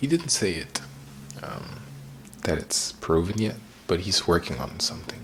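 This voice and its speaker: A man with a German accent speaks at a moderate pace in a fairly low voice with lively intonation. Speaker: acting student and vlogger. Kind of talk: personal vlog.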